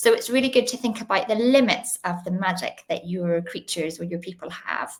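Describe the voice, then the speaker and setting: With a Northern Irish accent, a woman of medium pitch talks at a fairly quick pace with ordinary pitch variation against noticeable background noise. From Northern Ireland, Belfast. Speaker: children's author. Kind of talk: interview.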